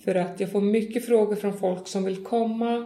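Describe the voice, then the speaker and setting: Her voice is medium in pitch, with a dark, mellow tone and fairly even intonation. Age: 40s. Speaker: horse farm and tourism business owner. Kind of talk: interview. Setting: on location at a farm.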